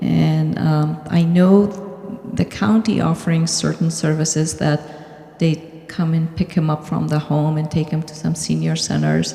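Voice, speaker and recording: Noticeable background noise sits under a woman's fairly slow speech. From Afghanistan. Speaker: board candidate, financial analyst. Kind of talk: candidate speech at community meeting.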